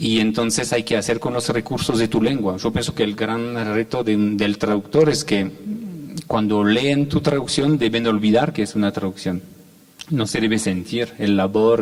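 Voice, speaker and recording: In a French accent, a man speaks at a moderate pace. His pitch sits in the medium range. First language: French (speaking Spanish). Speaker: poet and translator. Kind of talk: panel talk. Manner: halting.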